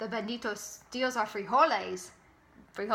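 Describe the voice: The text is read aloud plainly. Nothing more is done with the delivery than plain reading aloud.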